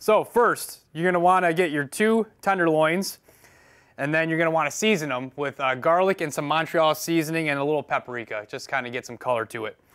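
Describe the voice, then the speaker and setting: Against a quiet background, the speaker goes at a fairly quick pace. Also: man, ordinary pitch variation. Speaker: firefighter cooking show host. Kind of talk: cooking tutorial. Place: kitchen.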